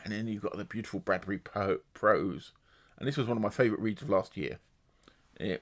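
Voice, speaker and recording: A man talks at a fairly quick pace with ordinary pitch variation and long, frequent pauses. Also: fairly low pitch for a man, very clean recording, silent background. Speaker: booktuber. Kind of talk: casual book review monologue. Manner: fast.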